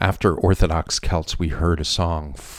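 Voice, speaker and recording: A man speaks with a very deep, low pitch and a somewhat breathy sound. The recording is very clean, with a silent background. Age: 60s. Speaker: music podcast host. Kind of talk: casual DJ chat between songs.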